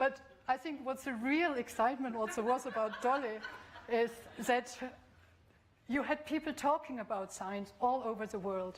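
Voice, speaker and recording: Delivered at a moderate pace with long, frequent pauses, the speech carries a German accent and ordinary pitch variation over noticeable background noise. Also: woman, high pitch for a woman. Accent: non-Scottish, German. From Bavaria, Germany. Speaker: professor of biotechnology. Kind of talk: public lecture. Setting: lecture hall with audience. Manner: hesitant, with fillers.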